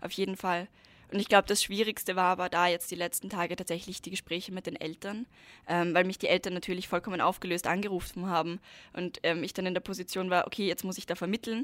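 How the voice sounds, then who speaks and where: A woman speaks very fast at a medium pitch, her intonation monotone and flat. The sound is dry and close, with no echo. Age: 20s. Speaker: climate activist. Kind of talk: interview.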